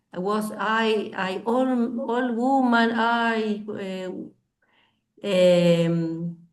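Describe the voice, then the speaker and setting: Speaking with a Spanish accent at a very slow pace, the voice shows ordinary pitch variation. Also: woman, fairly high pitch for a woman. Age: 60s. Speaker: language student. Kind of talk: language class discussion. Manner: halting, many fillers.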